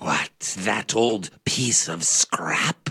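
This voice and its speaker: A man puts on a character voice at a medium pitch. His voice is raspy. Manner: whispered.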